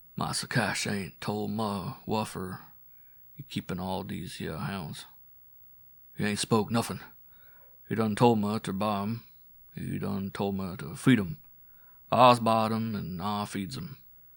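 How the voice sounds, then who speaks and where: A man puts on a character voice, raspy and at a fairly low pitch. He speaks at a fairly slow pace with long, frequent pauses. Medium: read story. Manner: terse, evasive.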